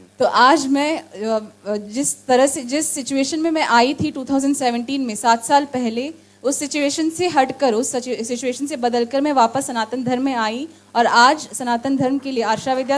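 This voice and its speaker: Over noticeable background noise, a woman with a coastal Karnataka accent speaks at a moderate pace in a high voice, with ordinary pitch variation and hardly any pauses. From Karnataka, India. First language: Tulu (speaking Hindi). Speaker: interpreter. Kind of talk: live interpretation of a speech. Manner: halting.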